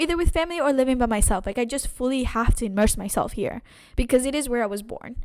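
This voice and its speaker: Her pitch high, a woman speaks in an animated tone. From Canary Islands, Spain (Gran Canaria). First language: Spanish. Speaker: podcast host. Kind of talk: casual chat. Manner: animated, repetitive self-corrections.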